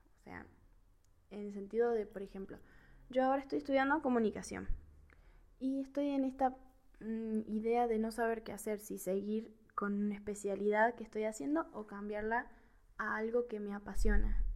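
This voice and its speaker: Speaking at a moderate pace, a woman uses a fairly high pitch with ordinary pitch variation. Her loudness swings widely, and she takes long, frequent pauses. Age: 20s. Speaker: film podcast host, communication student. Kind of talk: casual monologue film review.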